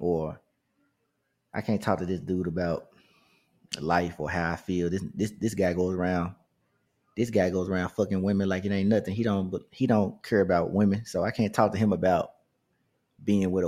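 In a very clean recording with a silent background, a man with a very deep, low pitch and a dark, mellow tone speaks at a moderate pace with fairly even intonation and long, frequent pauses. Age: 30s. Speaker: podcast host. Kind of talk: casual monologue. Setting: home recording room. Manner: hesitant, with fillers.

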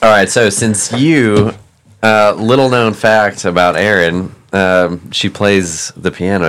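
Using a normal speaking voice, a man talks at a fairly slow pace with a fairly low pitch and ordinary pitch variation. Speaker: guest host. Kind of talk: casual comedic banter.

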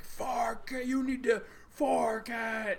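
A put-on character voice with a fairly high pitch is heard over light background noise. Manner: demanding, commanding.

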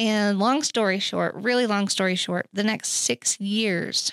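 Recorded dry and close with no echo against a very clean, silent background, an ordinary speaking voice proceeds at a fairly slow pace. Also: woman. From Oklahoma City. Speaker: recovery ministry worker, former addict. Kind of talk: personal testimony in interview.

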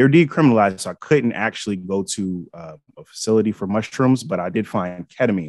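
Speaking in a fairly low voice with an American accent, a man talks at a fairly quick pace with hardly any pauses, lively intonation and big swings in loudness. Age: 30s. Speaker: psychedelics podcast host. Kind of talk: casual chat. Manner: halting, many fillers.

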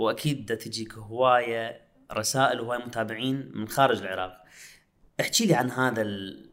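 The speaker has an Iraqi accent and a moderate pace. Intonation stays fairly even. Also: man, medium pitch for a man. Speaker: podcast host. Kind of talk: casual interview chat.

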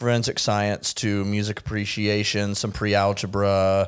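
A man with an unremarkable speaking voice. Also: very clean recording, silent background. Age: 30s. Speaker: podcast host. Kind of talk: casual chat.

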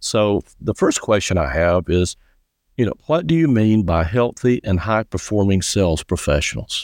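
An unremarkable speaking voice: a man with an American accent talks at a moderate pace in a fairly low pitch with lively intonation, in a dry, close sound with no echo against a quiet background. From South Carolina. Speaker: podcast host. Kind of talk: podcast interview.

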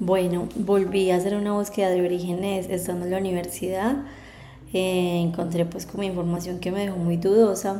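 A woman speaks at a medium pitch and a moderate pace in a flat monotone. Noticeable background noise and audible room echo surround her. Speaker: podcast host and adoptee. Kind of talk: personal testimony.

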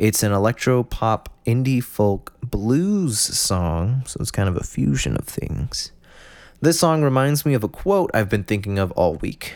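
In a very clean recording with a silent background, a man speaks fairly slowly at a medium pitch with very wide pitch swings. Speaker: solo podcaster. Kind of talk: casual monologue; scripted song rundown. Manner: halting.

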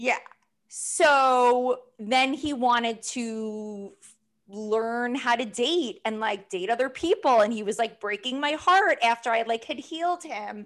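This woman speaks very slowly in a high pitch with ordinary pitch variation. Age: 30s. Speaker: podcast host. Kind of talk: casual chat.

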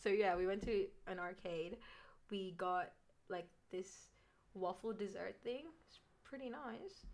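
Animated woman's voice in an Australian accent, medium pitch, fairly slow pace and long, frequent pauses. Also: ordinary pitch variation, big swings in loudness. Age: young. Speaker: nursing student podcast co-host. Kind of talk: casual chat.

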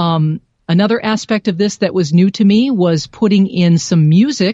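In a dry, close recording with no echo, a woman with an American accent speaks at a moderate pace in a fairly low, dark and mellow voice with ordinary pitch variation. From Ohio, Cleveland. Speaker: radio news reporter. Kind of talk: interview.

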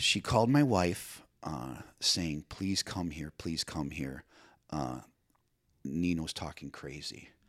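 Very slowly and at a very deep, low pitch, a man speaks with vocal fry and ordinary pitch variation in a very clean recording with a silent background. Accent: American. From Chicago, US. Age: 40s. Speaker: guest sharing life story. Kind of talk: casual chat. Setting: studio. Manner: animated.

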